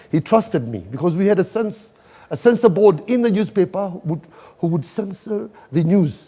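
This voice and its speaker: At a fairly quick pace, a man speaks with a Kenyan coastal accent. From Kenya, Mombasa. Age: 60s. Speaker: event organizer. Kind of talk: interview.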